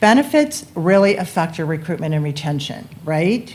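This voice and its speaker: At a moderate pace, a woman speaks with lively intonation and a somewhat breathy voice. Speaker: benefits consultant. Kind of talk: sales pitch.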